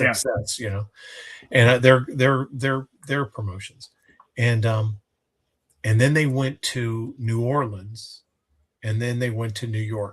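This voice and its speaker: Somewhat breathy, a man speaks very slowly at a medium pitch with fairly even intonation. Long, frequent pauses break up his speech. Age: 60s. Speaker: co-host. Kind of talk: casual chat. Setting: live stream.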